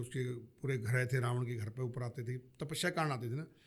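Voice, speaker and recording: The man's voice is somewhat breathy, and his intonation stays fairly even. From Haryana, India. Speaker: army veteran. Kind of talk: podcast interview.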